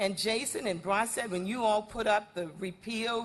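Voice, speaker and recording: With an American accent, a woman talks at a moderate pace against noticeable background noise. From New Orleans, Louisiana (Seventh Ward). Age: 70s. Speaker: environmental justice advocate. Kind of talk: public testimony at city council meeting. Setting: city council meeting with audience. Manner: animated.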